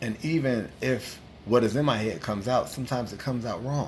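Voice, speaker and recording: With an American accent and an animated tone, a somewhat breathy man speaks at a medium pitch with ordinary pitch variation, with audible room echo. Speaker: livestream host. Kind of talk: casual chat.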